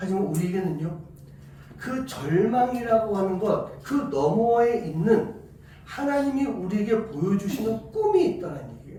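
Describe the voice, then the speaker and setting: A man with a slight Busan accent speaks at a high pitch with very wide pitch swings, amid noticeable background noise and audible room echo. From South Korea, Busan. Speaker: pastor. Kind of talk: sermon.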